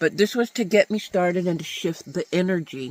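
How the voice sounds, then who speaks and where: The recording is dry and close with no echo, carrying a man's high-pitched voice. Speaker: published author. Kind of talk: casual talk to camera.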